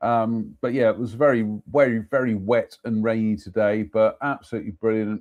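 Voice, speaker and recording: Ordinary pitch variation runs through an ordinary speaking voice delivered at a fairly quick pace. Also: man. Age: 50s. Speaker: live-stream host reading ghost stories. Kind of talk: casual chat. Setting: library with fire, live stream.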